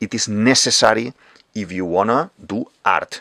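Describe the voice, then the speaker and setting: A man with a plain, everyday voice speaks at a fairly slow pace and a medium pitch, recorded with a dry, close sound and no echo. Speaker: art teacher, drawing tutorial creator. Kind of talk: tutorial.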